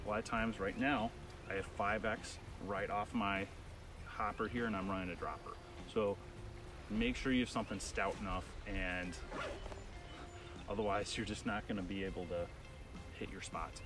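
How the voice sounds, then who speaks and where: A man's speech comes with long, frequent pauses, recorded dry with no echo but with noticeable background noise. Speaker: fly fishing guide. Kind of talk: tutorial. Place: waterside. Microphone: camera far.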